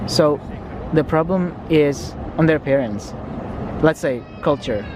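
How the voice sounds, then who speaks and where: Speech comes at a fairly slow pace while noticeable background noise hums underneath. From Indonesia. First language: Indonesian. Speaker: vlogger. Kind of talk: casual chat. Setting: outdoors.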